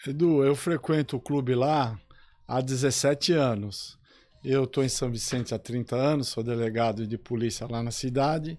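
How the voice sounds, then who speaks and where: An unremarkable speaking voice from a man at medium pitch and moderate pace, with ordinary pitch variation, on a very clean recording with a silent background. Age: 60s. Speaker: police chief and sports club councillor. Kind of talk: radio interview.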